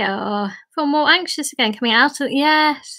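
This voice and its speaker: A woman with a British accent uses a raised, projected voice over a quiet background. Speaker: origami teacher leading a group. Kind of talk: tutorial. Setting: video call. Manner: warm, friendly, chatty; easily tires voice. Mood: warm, gentle. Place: home room. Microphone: webcam.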